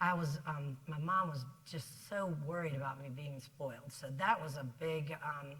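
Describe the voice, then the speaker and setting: With a Southern US accent, a woman speaks at a very deep, low pitch amid audible room echo. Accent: Southern drawl. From South Carolina. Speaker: business executive. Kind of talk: interview on stage. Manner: fast; energetic.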